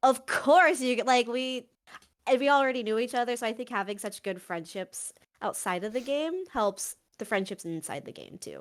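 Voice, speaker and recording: Big swings in loudness and lively intonation fill this moderately paced speech, recorded very cleanly against a silent background. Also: woman, high pitch for a woman. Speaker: tabletop role-play player. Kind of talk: casual chat.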